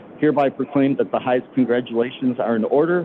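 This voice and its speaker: A man talks, his pitch moving in an ordinary way, with a little background noise behind him. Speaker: mayor pro tem. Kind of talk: reading a proclamation. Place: hall.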